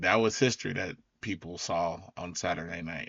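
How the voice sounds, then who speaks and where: Here a man speaks at a fairly slow pace. His voice has a very deep, low pitch. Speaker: podcast host. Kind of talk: casual podcast monologue. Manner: halting with fillers.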